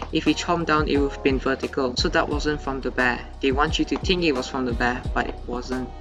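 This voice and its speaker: Over background music, a man talks very fast. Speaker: game theory YouTuber. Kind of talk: casual gameplay analysis commentary.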